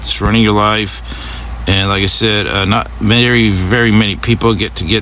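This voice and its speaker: There is noticeable background noise and audible room echo. A man talks with a fairly low pitch and ordinary pitch variation. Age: 60s. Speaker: political commentator. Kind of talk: video monologue. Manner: halting, many fillers; angry.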